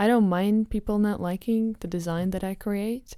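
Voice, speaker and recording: A woman's dark, mellow tone on a very clean recording with a silent background. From Latvia, Riga. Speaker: lead designer. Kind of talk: interview.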